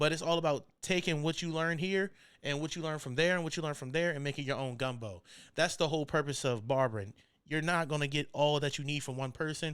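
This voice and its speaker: Over a silent background in a very clean recording, a man with an American accent talks at a very fast pace, his fairly high pitch showing ordinary variation. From Maryland Eastern Shore (Salisbury). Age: 20s. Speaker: barber and podcast host. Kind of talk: casual podcast monologue. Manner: laid-back, conversational.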